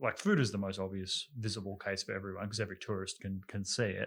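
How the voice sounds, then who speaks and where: Very fast and monotone, a man's bright, sharp voice runs flat over a very clean recording with a silent background. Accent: Australian. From Australia. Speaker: podcast co-host discussing foreign policy. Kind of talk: casual discussion.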